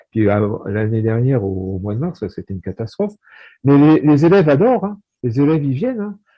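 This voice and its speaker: Pitch swings very widely. The pace is fairly quick. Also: man, medium pitch for a man. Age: 60s. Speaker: high school maths and physics teacher. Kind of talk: casual chat. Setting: video call. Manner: halting.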